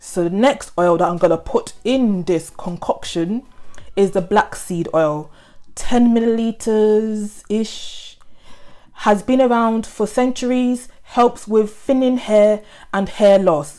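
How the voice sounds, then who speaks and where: A woman's dark, mellow tone at a very slow pace. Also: fairly high pitch for a woman, ordinary pitch variation. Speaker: beauty vlogger. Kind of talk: tutorial.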